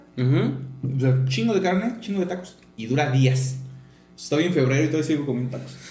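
This man talks at a fairly quick pace with a medium pitch and ordinary pitch variation. Room echo is audible. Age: 50s. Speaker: podcast co-host. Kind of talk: casual chat.

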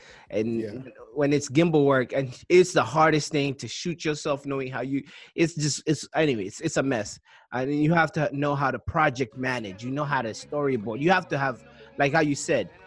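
On a very clean recording with a silent background, a man with a plain, everyday voice speaks at a fairly quick pace in a fairly high pitch with ordinary pitch variation. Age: 30s. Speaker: podcast host. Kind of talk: casual interview.

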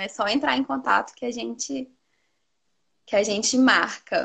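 Here a woman uses a plain, everyday voice with a fairly high pitch. Her pace is moderate. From Teófilo Otoni, northeast Minas Gerais, Brazil. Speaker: nutritionist. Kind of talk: casual interview.

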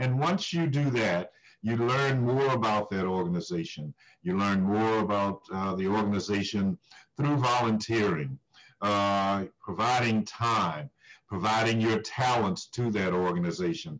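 An ordinary speaking voice from a man, fairly low in pitch and fairly slow, with lively intonation and very even loudness. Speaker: nonprofit CEO. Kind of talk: formal interview. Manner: formal, measured.

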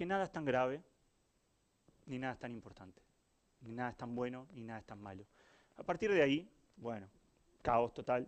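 A man with a medium-pitched voice speaks at a fairly quick pace, with lively intonation, big swings in loudness, and long, frequent pauses. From Uruguay. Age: 40s. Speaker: innovation director, agency founder. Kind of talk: talk to live audience. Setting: stage with audience.

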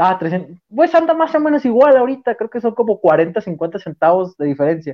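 A man speaks at a high pitch with very wide pitch swings. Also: moderate pace. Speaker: football podcast host. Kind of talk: casual sports chat.

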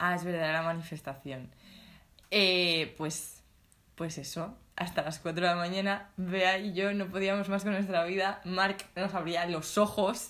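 A woman with an unremarkable speaking voice talks at a fairly slow pace, using medium pitch and fairly even intonation. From Spain, Alicante province (small town). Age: 20s. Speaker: podcast co-host, design student. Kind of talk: casual chat.

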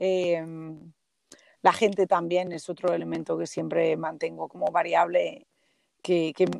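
In a dry, close sound with no echo, a woman's speech proceeds at a moderate pace. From Galicia, northern Lugo. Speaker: Spanish language teacher. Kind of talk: interview.

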